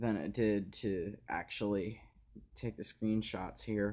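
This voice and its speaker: A man's fairly low voice, dark and mellow in tone, at a fairly slow pace, in a very clean recording with a silent background. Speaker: sports video creator. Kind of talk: casual commentary video. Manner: halting, repeating words; sluggish, unusual delivery.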